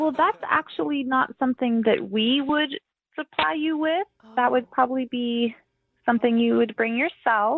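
A high-pitched woman with lively intonation. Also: moderate pace. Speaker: hotel receptionist. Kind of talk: prank phone call. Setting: phone call. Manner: polite, flustered.

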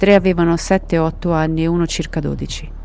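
Music sounds in the background. Over it, a woman talks. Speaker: podcast narrator.

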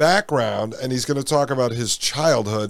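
Here is a man with an unremarkable speaking voice at medium pitch, with ordinary pitch variation. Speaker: podcast host. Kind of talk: political commentary.

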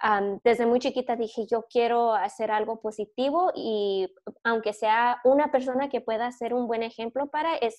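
A woman's normal speaking voice, fairly high in pitch, fairly slow and fairly even in intonation, with hardly any pauses. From US, born in California, raised in Michigan. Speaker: podcast co-host and teacher. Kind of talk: interview.

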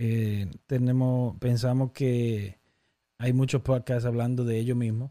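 A man speaks very slowly in a dark, mellow tone with flat, monotone intonation. The recording is very clean, with a silent background. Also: medium pitch for a man, very even loudness. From Dominican Republic (Baní, countryside). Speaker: podcast host. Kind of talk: casual chat.

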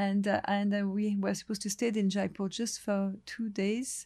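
Somewhat breathy and dark, mellow in tone, a woman of medium pitch speaks at a moderate pace with a monotone, flat intonation. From Lebanon, French family. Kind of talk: interview. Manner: halting.

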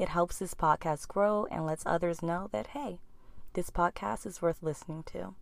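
A woman's fairly low pitch in a plain, everyday voice. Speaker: podcast host. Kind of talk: guided meditation. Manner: slow, soothing, calm and gentle; unhurried, with long pauses.

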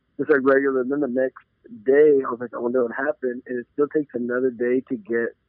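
Speaking fairly quickly, a man with an American accent keeps a medium pitch and a monotone, flat intonation. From Arizona, US-Mexico border (Nogales). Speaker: real estate agent and football superfan. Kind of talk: casual chat.

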